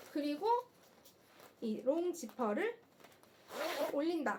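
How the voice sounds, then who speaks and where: Over noticeable background noise, a woman projects her high voice at a very slow pace, her pitch swinging very widely. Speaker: live shopping host. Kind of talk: live sales stream. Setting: live stream on camera. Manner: animated.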